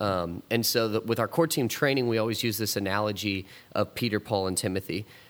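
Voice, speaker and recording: This man talks at a fairly quick pace in a fairly low voice with ordinary pitch variation. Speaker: youth minister. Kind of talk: casual chat. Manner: fast.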